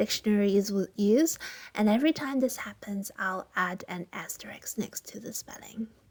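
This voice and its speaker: Her loudness swings widely as this woman talks at a moderate pace in a Cantonese accent. Her voice is fairly high, with ordinary pitch variation. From Hong Kong. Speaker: language teacher. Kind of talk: language tutorial.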